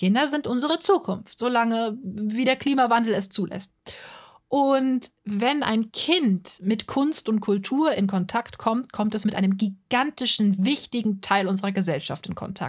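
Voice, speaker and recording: A somewhat breathy woman's voice, fairly high in pitch, at a fairly slow pace with ordinary pitch variation. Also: very clean recording, silent background. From Hesse, Germany (Offenbach am Main). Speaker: podcaster and art channel creator. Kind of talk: monologue podcast.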